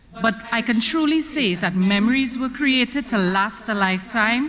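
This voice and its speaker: Fairly high female speech against noticeable background noise. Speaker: drama association secretary. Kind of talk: vote of thanks speech.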